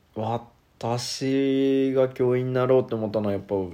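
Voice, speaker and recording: A man speaks in a dark, mellow, relaxed tone. His pitch variation is ordinary. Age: 20s. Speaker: schoolteacher. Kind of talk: solo monologue podcast. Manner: casual, relaxed.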